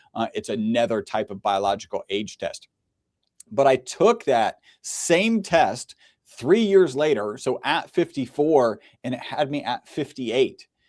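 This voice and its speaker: At a fairly slow pace, a man speaks with a fairly high pitch and very wide pitch swings, in a dry, close sound with no echo. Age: 50s. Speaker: health product representative. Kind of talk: casual chat.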